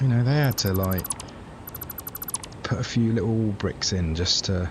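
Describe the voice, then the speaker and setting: A man talks at a fairly slow pace with ordinary pitch variation. Noticeable background noise is present. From England, Cambridge. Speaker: video game streamer. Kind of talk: casual gameplay livestream chat. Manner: casual, hesitant with fillers.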